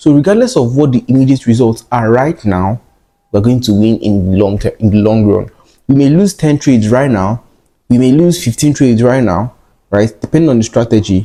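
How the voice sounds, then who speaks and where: A man at a fairly quick pace, with a medium pitch and a dark, mellow tone. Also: very even loudness. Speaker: trading educator. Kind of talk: tutorial. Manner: fast.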